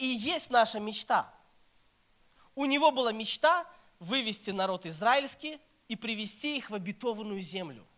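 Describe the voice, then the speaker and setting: Using a raised, projected voice, a man with an extremely high pitch and a bright, sharp tone speaks at a moderate pace with lively intonation and long, frequent pauses. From Belarus, Minsk. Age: 30s. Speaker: pastor. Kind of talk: sermon.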